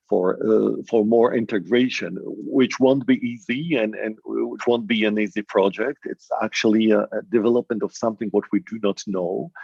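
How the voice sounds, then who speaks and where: Hardly any pauses break up the speech. The speaker has a Polish accent. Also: man, moderate pace. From Poland. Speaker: academic panelist. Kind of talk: panel discussion. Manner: halting, many repetitions.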